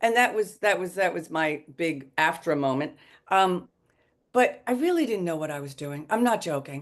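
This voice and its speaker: A woman with a New York accent at a moderate pace, her pitch swinging very widely, over a quiet background. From Long Island, New York. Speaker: actress. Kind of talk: interview. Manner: animated.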